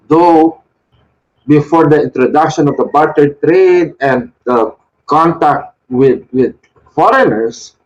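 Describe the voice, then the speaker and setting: A man with a Filipino accent, ordinary pitch variation and a very slow pace. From Philippines. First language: Tagalog. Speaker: Wiccan shrine leader. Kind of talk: devotional talk. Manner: halting.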